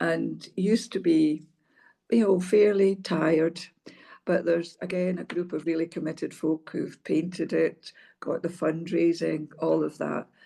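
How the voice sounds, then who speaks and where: A woman's fairly low, dark, mellow voice with vocal fry, in a Hebridean accent, fairly slow and fairly even in intonation. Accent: Scottish Hebridean. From North Uist, Scotland. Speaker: former senior civil servant and social work professional. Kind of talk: interview answer.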